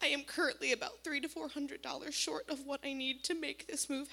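A woman projects her raised voice at a high pitch, her tone bright and sharp and her intonation fairly even. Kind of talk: testimony. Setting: church.

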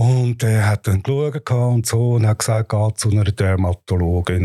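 A dark, mellow tone, somewhat breathy. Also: man. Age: 60s. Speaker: patient. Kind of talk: personal testimony. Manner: halting.

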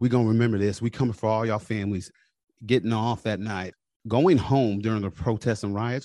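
A man talks at a fairly quick pace, his pitch fairly low and his intonation fairly even. His tone is dark and mellow, and the background is quiet. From US military family, moved around. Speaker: army veteran and police officer. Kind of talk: interview, personal testimony.

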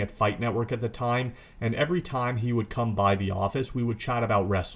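A man with an unremarkable speaking voice and a medium pitch talks at a fairly quick pace. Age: 30s. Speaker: wrestling podcast host. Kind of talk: solo podcast commentary.

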